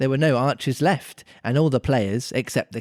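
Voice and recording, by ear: Pitch varies in an ordinary way. This is reading aloud in a natural voice.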